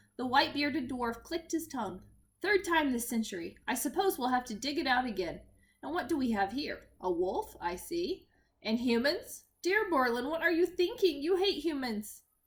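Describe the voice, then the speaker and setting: A woman performs a put-on character voice. Her pitch sits high. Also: moderate pace. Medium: read story. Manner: cheerful, hearty.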